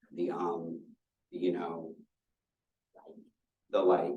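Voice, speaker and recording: The man talks at a very slow pace, his pitch very deep and low. His intonation is fairly even, and audible room echo surrounds the voice. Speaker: university staff presenter. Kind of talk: lecture. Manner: filler words.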